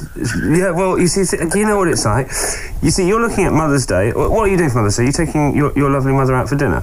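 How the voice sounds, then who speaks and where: A man talks at a very fast pace with very wide pitch swings and very even loudness. Noticeable background noise sits behind him. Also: fairly high pitch for a man. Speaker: motorsport radio host. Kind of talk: casual interview.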